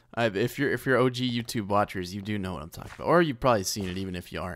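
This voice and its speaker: A man talks at a very fast pace with lively intonation, and the sound is dry with no echo. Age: 20s. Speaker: gaming YouTuber. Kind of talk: gameplay commentary. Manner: casual, rambling with fillers. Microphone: condenser mic on boom arm, very close; studio mic.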